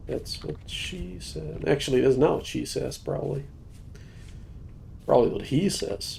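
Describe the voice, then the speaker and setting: The speaker goes at a fairly slow pace with long, frequent pauses. Room echo can be heard. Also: man. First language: not English. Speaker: gaming streamer. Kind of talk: live gameplay stream chat. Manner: casual, thinking aloud.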